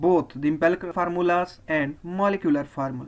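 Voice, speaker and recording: The speaker has a Pakistani accent. The pace is moderate. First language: Urdu. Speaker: chemistry teacher. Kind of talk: lecture.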